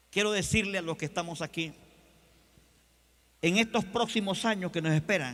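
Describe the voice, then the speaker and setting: At a moderate pace, a man with a high pitch talks with long, frequent pauses. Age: 60s. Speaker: pastor. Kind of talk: sermon. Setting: convention stage with audience.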